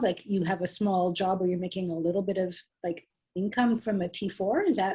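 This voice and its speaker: A woman talks at a fairly quick pace in a medium pitch. Her tone is dark and mellow, and somewhat breathy. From Canada. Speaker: tax workshop presenter. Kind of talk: Q&A answering questions in workshop.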